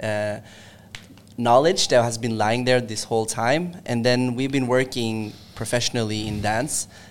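Speaking in an ordinary speaking voice, a man keeps a fairly slow pace, medium pitch and fairly even intonation. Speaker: dancer in a dance crew. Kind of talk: casual interview.

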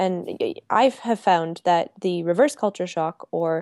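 A woman with an American accent speaks at a fairly slow pace in a fairly low pitch, her tone dark and mellow with ordinary pitch variation. The sound is dry and close with no echo, over a quiet background. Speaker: travel coach and speaker. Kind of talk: interview.

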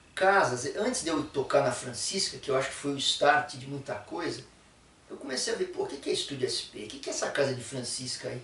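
A man talking at a fairly quick pace, with noticeable background noise and audible room echo. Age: 60s. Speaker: musician. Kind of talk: casual chat. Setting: studio.

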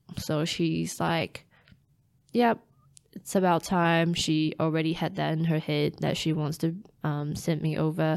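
The recording is very clean, with a silent background. A woman with a Chinese accent speaks at a fairly slow pace in a very deep, low voice. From Taiwan. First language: Mandarin Chinese. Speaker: scientist and startup founder. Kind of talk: casual interview conversation.

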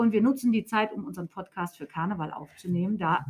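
This woman has a bright, sharp tone and a fairly high pitch. Her intonation is lively. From Hesse, Germany. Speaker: teacher. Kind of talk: school podcast chat.

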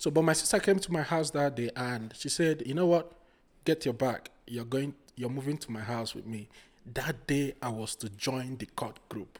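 Speaking at a moderate pace with a Nigerian accent, a man keeps a medium pitch and ordinary pitch variation, recorded very cleanly against a silent background. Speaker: podcast guest, project manager. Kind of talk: casual interview.

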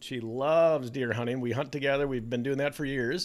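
With an Upper Midwest accent, a man speaks in an animated tone at a fairly high pitch with ordinary pitch variation, in a very clean recording with a silent background. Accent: Upper Midwest American. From Minnesota, US (Bloomington). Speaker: children's author and podcast host. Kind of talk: casual interview chat.

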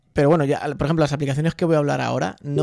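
Dark, mellow tone from a man pitched fairly high. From Spain, Albacete. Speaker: podcaster. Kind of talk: casual chat. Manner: fast.

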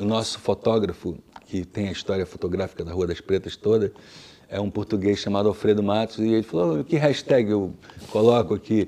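A man talks at a moderate pace. His voice is fairly low in pitch. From Brasília, Brazil. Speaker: musician. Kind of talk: interview. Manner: halting, many fillers.

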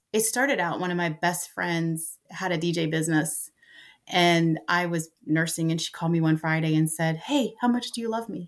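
Her voice is a plain, everyday voice, fairly low for a woman, with ordinary pitch variation and a moderate pace. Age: 50s. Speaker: grandmother raising grandsons, realtor. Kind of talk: casual interview.

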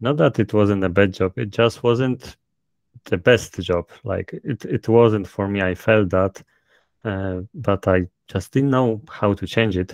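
A man with a fairly low pitch speaks at a fairly slow pace, with ordinary pitch variation. The sound is dry and close, with no echo. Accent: strong Polish. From Poland. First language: Polish. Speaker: author. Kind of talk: interview.

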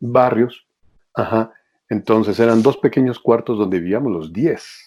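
This man has a dark, mellow tone at a medium pitch, speaking at a fairly slow pace with ordinary pitch variation. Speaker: voice actor. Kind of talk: interview.

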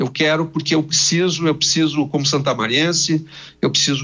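Speaking at a moderate pace, a man has an unremarkable speaking voice with a fairly high pitch. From Brazil, Rio Grande do Sul (Santa Maria). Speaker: TV journalist. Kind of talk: radio interview.

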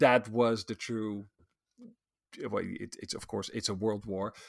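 A man with a plain, everyday voice speaks at medium pitch with fairly even intonation. The sound is dry and close with no echo, in a very clean recording against a silent background. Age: 40s. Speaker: social psychologist and futurist. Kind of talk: interview.

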